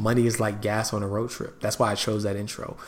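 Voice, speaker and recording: Medium pitch from a man at a fairly quick pace, with audible room echo. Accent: American. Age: 30s. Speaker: finance podcast host. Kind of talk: solo podcast monologue. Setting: rented room on the road.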